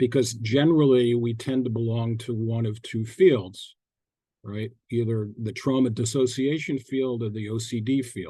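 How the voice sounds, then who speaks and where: Here is a man with a dark, mellow tone that is somewhat breathy. He talks at a moderate pace with fairly even intonation. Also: medium pitch for a man. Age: 70s. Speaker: psychotherapist presenter. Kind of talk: webinar lecture. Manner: halting, many fillers and repetitions.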